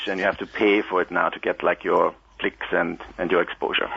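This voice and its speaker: A man with an Austrian accent, fairly low in pitch, at a moderate pace. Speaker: linguist. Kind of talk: radio interview.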